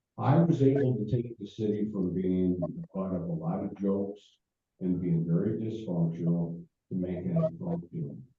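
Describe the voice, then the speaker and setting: With very wide pitch swings, a man speaks at a fairly slow pace in an American accent. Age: 70s. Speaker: former mayor. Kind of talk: speech to a club meeting. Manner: halting.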